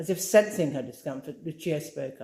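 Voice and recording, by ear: A woman speaks at a moderate pace, with a low pitch and lively intonation. Her tone is dark and mellow, with vocal fry.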